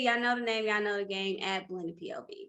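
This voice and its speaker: With a St. Louis accent, a woman speaks in a fairly high pitch, her tone bright and sharp and her intonation lively. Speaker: podcast co-host. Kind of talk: casual chat. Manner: stumbling over words.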